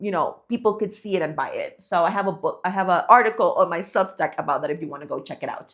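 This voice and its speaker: A woman with a non-native accent speaks at a very fast pace with hardly any pauses. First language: not English. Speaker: online business creator. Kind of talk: casual talk to camera. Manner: conversational with many fillers.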